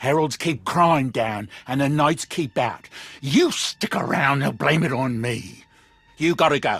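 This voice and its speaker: Growling in a put-on character voice, a man speaks fairly slowly at a fairly high pitch. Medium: video game. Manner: nervous, stammering.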